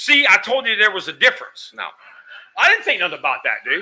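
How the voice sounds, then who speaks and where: An American man speaks at a fairly quick pace with an extremely high pitch. His tone is bright, sharp and animated. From New Mexico, US. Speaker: pool hall owner. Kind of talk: casual chat.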